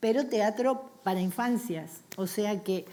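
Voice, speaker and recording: A woman talks at a medium pitch with lively intonation. Her pace is very slow. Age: 60s. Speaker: storyteller for children. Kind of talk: panel discussion.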